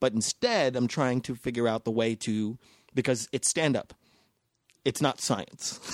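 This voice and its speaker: With an American accent and fairly even intonation, an unremarkable speaking voice proceeds at a fairly slow pace in a dry, close sound with no echo. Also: man, medium pitch for a man. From North Las Vegas, Nevada, US. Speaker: stand-up comedian. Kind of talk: casual chat.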